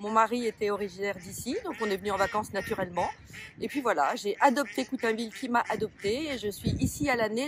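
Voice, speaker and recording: A normal speaking voice, ordinary pitch variation, fairly quick pace. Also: woman. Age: 60s. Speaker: shopkeeper and municipal election candidate. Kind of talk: interview. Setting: outdoors by a pond, sunny.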